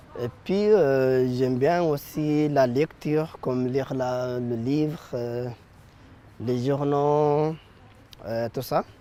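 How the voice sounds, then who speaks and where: A man is speaking. His tone is dark and mellow. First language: not French, learned in last seven years (speaking French). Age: 20s. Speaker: apprentice, young immigrant. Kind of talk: interview. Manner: halting, many hesitations.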